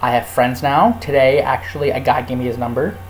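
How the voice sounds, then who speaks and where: Over noticeable background noise, a man with an American accent talks at a fairly quick pace in a medium pitch. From California. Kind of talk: casual vlog. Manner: fast; animated. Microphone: laptop mic.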